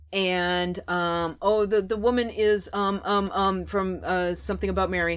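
A woman with a slight Minnesotan accent speaks at a fairly slow pace, with hardly any pauses. Her medium pitch stays in monotone, flat intonation. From Minnesota, Twin Cities, US. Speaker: podcast host. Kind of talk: casual chat over wine. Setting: basement, in person with co-host.

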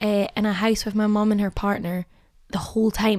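A woman speaks with a Glasgow accent. Her intonation stays monotone and flat. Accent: Scottish (Glasgow). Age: young. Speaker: actress. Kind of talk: casual chat.

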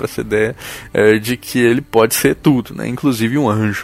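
Fairly quick and with fairly even intonation, a man speaks in a medium pitch in a plain, everyday voice. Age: 20s. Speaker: journalist and folklore podcaster. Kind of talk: casual interview.

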